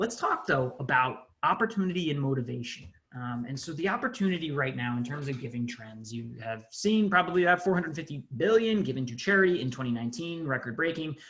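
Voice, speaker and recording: Talking at a very fast pace with hardly any pauses, a man with a fairly high pitch swings very widely in pitch amid audible room echo. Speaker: nonprofit digital agency CEO, conference presenter. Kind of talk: conference webinar presentation. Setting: video call.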